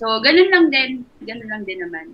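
Light background noise accompanies a woman's voice. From Philippines. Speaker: sports nutritionist; nutrition coach. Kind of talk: interview. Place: home room. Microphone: video call.

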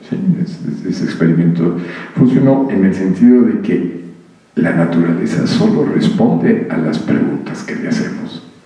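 A man talks at a moderate pace, with audible room echo around him. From Mexico. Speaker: physicist; speaker. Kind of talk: public conversation. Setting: stage with audience. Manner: animated. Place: hall.

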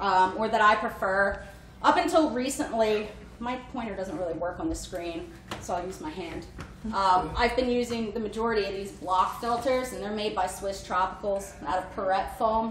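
A woman speaks at a moderate pace, with big swings in loudness. Audible room echo and light background noise surround her voice. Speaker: guest. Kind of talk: lecture. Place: home room. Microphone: camera far.

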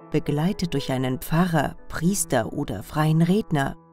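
With music in the background, a woman speaks at a fairly slow pace. Her pitch is fairly low and her intonation lively. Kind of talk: commercial voice-over for a funeral home. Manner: empathetic, calm.

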